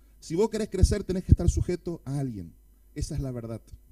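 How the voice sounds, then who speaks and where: With an Argentine accent, a man talks at a fairly quick pace, his fairly high pitch carried in a dark, mellow tone. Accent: Argentine Spanish (Rioplatense, voseo). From Argentina. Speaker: pastor. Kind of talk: sermon. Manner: fast.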